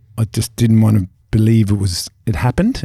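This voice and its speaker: A man with an Irish accent, a dark, mellow tone, a fairly low pitch, fairly even intonation and a somewhat breathy quality. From Ireland. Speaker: former professional footballer and youth coach. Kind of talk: casual interview.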